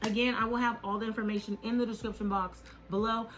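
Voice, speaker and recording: Over noticeable background noise, a woman with a fairly high-pitched voice speaks at a fairly quick pace in a monotone, flat intonation. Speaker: beauty YouTuber. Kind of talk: product review. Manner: casual, filler-heavy.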